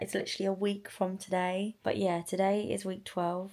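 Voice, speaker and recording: The voice carries a dark, mellow tone at a moderate pace. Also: woman. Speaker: vlogger. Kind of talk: video diary vlog. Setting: outdoors by the seafront. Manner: quiet, hushed.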